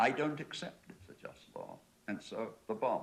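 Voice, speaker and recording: Here a man speaks with an English accent. His pace is fairly slow. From England. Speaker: panel discussant. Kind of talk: panel debate.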